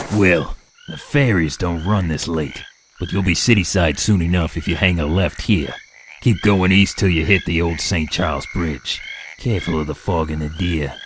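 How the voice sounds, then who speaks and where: In a put-on character voice that is very deep and low, a man speaks at a moderate pace with ordinary pitch variation and long, frequent pauses. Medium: audio drama. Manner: easygoing, folksy.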